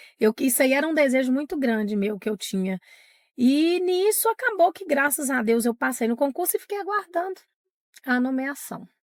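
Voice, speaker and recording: Her pitch high and swinging very widely, a woman speaks at a moderate pace in a dry, close sound with no echo. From Minas Gerais, Brazil (Diamantina). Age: 40s. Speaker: teacher. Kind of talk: interview testimony.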